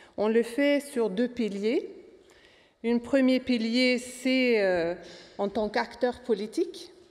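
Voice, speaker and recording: Long, frequent pauses mark a woman's very slow pace, her loudness very even. Her high-pitched voice carries lively intonation. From Sweden. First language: Swedish (speaking French). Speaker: trade unionist. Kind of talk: panel talk.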